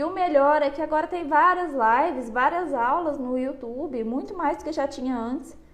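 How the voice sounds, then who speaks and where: Against noticeable background noise, a woman with a high voice talks at a moderate pace with ordinary pitch variation. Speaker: psychologist. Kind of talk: live stream talk on anxiety. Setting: online live stream. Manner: conversational, addresses audience.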